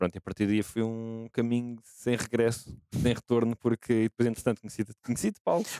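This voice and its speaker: A man talks in a normal speaking voice at a medium pitch and a moderate pace, with fairly even intonation and very even loudness. The sound is dry and close, with no echo. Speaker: gaming content team member. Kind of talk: casual chat.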